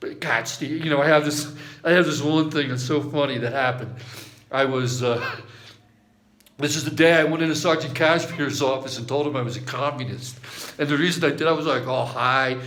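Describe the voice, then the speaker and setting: This man talks at a fairly quick pace in a fairly high pitch. His intonation is fairly even, and audible room echo surrounds him. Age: 60s. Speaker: amateur guitarist recording a video message to an old army friend. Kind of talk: casual personal video message. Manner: rambling with frequent restarts and fillers.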